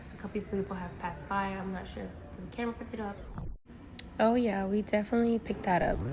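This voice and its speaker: A woman speaks very fast in a flat, monotone delivery, her loudness swinging widely over noticeable background noise. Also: medium pitch for a woman. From US, Mexican family background. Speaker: vlogger. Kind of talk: casual vlog monologue. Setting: airport, in public.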